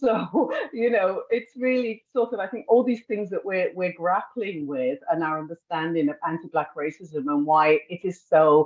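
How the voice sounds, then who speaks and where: A woman with a British accent, medium pitch and lively intonation, at a moderate pace with hardly any pauses. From England. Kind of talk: panel discussion.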